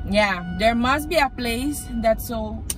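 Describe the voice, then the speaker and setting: Dry sound with no echo, over loud background noise. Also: woman. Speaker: vlogger. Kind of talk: casual vlog chat. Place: car. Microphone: phone near.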